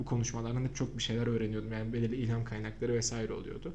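A man at medium pitch is heard with audible room echo. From Samsun, Turkey. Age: 20s. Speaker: podcast host, digital marketer. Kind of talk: casual chat.

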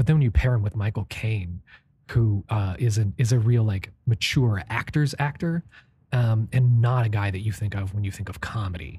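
A man's fairly low, somewhat breathy voice with a dark, mellow tone, ordinary pitch variation and a moderate pace. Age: 30s. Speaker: film podcast co-host. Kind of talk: scripted narration; casual chat.

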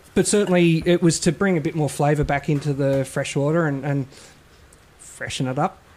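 Speaking fairly quickly with an Australian accent, a man has a fairly high pitch and fairly even intonation. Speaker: beer sales rep. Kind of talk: casual chat.

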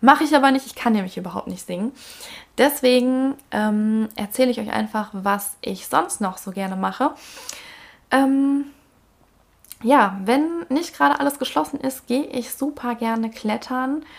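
A woman speaks in a high pitch with lively intonation. Her moderate pace is broken by long, frequent pauses. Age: 20s. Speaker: podcast host, single mother. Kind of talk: casual monologue.

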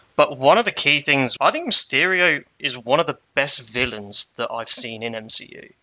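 A man speaks with lively intonation at a moderate pace, with a fairly high pitch and hardly any pauses. His is a plain, everyday voice. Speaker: guest.

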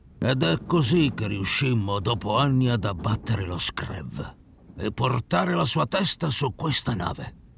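A man does a put-on character voice at a medium pitch with vocal fry and a fairly bright tone. He speaks at a fairly slow pace with few pauses and big pitch swings.

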